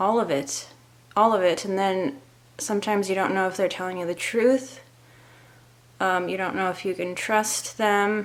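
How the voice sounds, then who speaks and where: In an American accent, a woman talks at a fairly slow pace and a medium pitch, with fairly even intonation. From US Pacific Northwest (Seattle). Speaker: vlogger and author. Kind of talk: casual vlog talk to camera. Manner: slow, deliberate; hesitant, with fillers.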